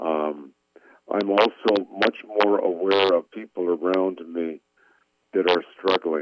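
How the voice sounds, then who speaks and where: Speaking at a fairly slow pace, a man uses a very deep, low voice with fairly even intonation. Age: 70s. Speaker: pastor. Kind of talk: interview. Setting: radio show. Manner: halting.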